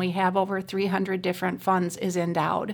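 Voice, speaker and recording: A woman with an Upper Midwest accent speaks at a medium pitch in a flat monotone, recorded very cleanly against a silent background. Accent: Upper Midwest American. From Racine, Wisconsin. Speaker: community foundation executive. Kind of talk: interview.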